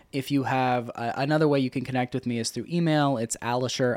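An unremarkable speaking voice comes from a man with an American accent, medium in pitch with fairly even intonation. He talks at a fairly quick pace on a very clean recording with a silent background. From grew up overseas, then US. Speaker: author and former city council candidate. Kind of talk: interview. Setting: studio.

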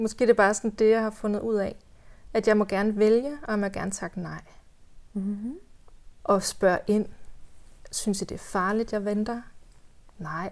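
A woman speaks at a moderate pace with a fairly high pitch and fairly even intonation. Her delivery has long, frequent pauses. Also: very clean recording, silent background. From West Jutland, Denmark. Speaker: doula. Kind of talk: personal birth story in podcast interview.

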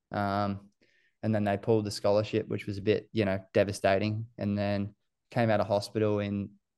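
Against a quiet background, a man with an Australian accent speaks in a fairly low pitch with monotone, flat intonation. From New Zealand, raised in Queensland from age seven. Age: 20s. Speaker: runner. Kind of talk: casual chat. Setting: podcast interview.

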